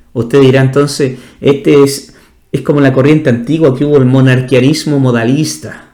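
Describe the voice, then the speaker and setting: A man's voice sits at a medium pitch with a dark, mellow tone. His intonation is fairly even and his loudness very even. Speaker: pastor. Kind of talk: bible study teaching. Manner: fast.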